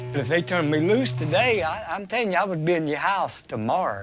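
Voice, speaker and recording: Over music in the background, a man with an Appalachian accent talks at a moderate pace with very wide pitch swings. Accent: Appalachian US Southern. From Kentucky mountains. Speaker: prison inmate. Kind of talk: documentary interview.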